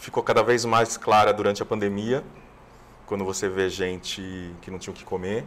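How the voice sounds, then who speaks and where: This man has an unremarkable speaking voice, fairly low in pitch with fairly even intonation. His pace is moderate, but his loudness swings widely. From Brazil, São Paulo city. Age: 50s. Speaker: TV screenwriter and producer. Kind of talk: interview.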